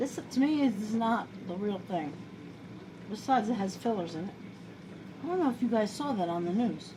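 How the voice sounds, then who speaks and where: A woman's fairly high-pitched voice in an American accent, with lively intonation, moderate pace and long, frequent pauses, amid noticeable background noise and audible room echo. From New York. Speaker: home cooking video host. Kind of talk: casual cooking tutorial. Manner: chatty, rambling.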